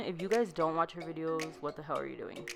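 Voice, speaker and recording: A woman's fairly low-pitched voice with ordinary pitch variation, over music in the background. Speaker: beauty vlogger. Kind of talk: voiceover makeup tutorial. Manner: casual, filler-heavy.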